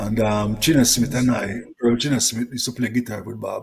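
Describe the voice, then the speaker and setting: With a Jamaican accent, a man speaks at a moderate pace in a somewhat breathy, medium-pitched voice with fairly even intonation. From Jamaica (Kingston). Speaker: reggae singer. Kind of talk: interview.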